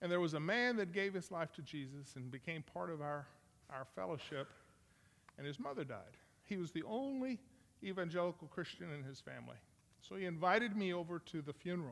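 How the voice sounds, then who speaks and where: His pitch high and his intonation lively, a man speaks at a rather fast clip. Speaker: missionary preacher. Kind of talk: sermon. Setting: church. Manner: loud.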